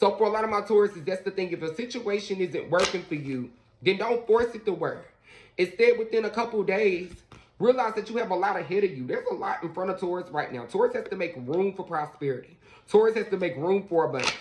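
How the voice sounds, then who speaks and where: There is noticeable background noise. A man talks very fast at a high pitch. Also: ordinary pitch variation. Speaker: tarot reader. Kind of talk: casual tarot reading talk to viewers. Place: home room. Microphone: phone near.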